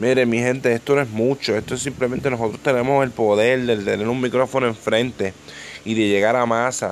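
The voice runs at a fairly quick pace in a flat monotone, with noticeable background noise behind it. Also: man, medium pitch for a man. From Puerto Rico, Ponce (south). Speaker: rapper and podcaster. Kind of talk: casual monologue. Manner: halting, many fillers and repetitions.

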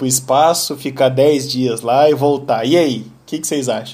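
A man's unremarkable speaking voice sits at a fairly high pitch and moves along at a moderate pace. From Brazil. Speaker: podcast host. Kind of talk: casual chat.

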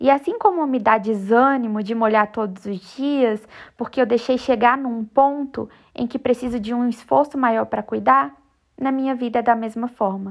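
Her pitch is fairly high for a woman, with ordinary pitch variation and a plain, everyday voice. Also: moderate pace. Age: 20s. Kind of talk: devotional reflection monologue.

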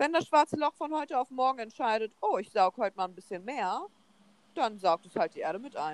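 A woman talks in an animated tone at a fairly quick pace, with a fairly high pitch and very wide pitch swings. The sound is dry and close, with no echo. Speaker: podcast co-host. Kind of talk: casual chat.

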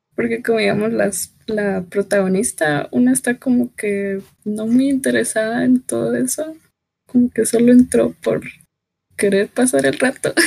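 A woman's fairly high voice with a dark, mellow tone, lively intonation, and a fairly slow pace, in a dry, close recording with no echo. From Guatemala. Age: 20s. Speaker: embroidery hobbyist. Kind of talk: casual chat.

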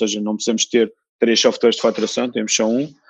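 Monotone, flat speech from a man over a quiet background. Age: 40s. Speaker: entrepreneur. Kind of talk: interview. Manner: halting, many repetitions.

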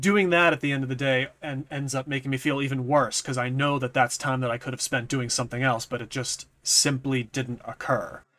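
A man with a slight Boston accent talks at a fairly quick pace with hardly any pauses. His voice sits at medium pitch, with a bright, sharp tone and fairly even intonation. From New England, US. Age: 30s. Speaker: YouTube content creator. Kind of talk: casual chat.

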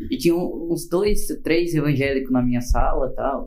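A man's dark, mellow tone moves at a moderate pace with ordinary pitch variation. Room echo can be heard. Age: 20s. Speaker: podcast co-host. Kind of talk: casual chat.

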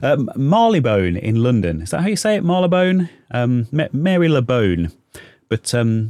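A man with a British accent, medium pitch, and very wide pitch swings. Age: 30s. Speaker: YouTuber and podcast host. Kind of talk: solo casual podcast monologue. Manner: halting, many fillers.

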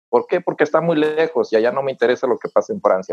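A man speaking at a very fast pace. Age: 40s. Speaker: TV reporter and university lecturer. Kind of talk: interview.

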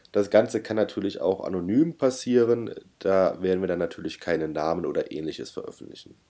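This man talks at a fairly quick pace. The recording is very clean and the background silent. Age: 30s. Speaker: podcast co-host and private pilot. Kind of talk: casual chat.

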